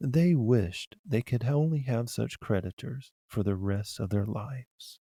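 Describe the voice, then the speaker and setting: In a very clean recording with a silent background and a dry, close sound with no echo, a man at medium pitch speaks at a fairly slow pace with a calm, dark, mellow tone, lively intonation and a somewhat breathy quality. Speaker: audiobook narrator. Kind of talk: fairy tale reading. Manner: calm, plain.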